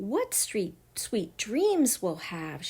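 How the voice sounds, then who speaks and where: A woman's put-on character voice at medium pitch. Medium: read story.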